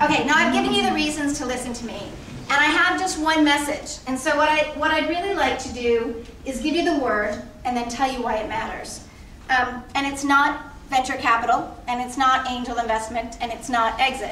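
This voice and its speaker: In a raised, projected voice, a woman speaks at a fairly quick pace with a high pitch and ordinary pitch variation, amid audible room echo and noticeable background noise. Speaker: nonprofit CEO, panel speaker. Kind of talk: speech to audience. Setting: stage with audience.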